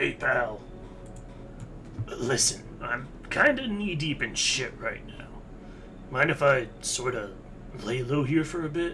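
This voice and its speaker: A man's put-on character voice, fairly high and fairly slow, with long, frequent pauses amid loud background noise. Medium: game stream. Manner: casual slangy, swears, says pal.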